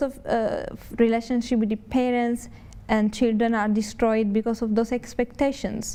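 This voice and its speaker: A woman speaks with an Italian accent. Her voice is high-pitched. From Italy. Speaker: Buddhist nun. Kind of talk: TV interview. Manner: halting.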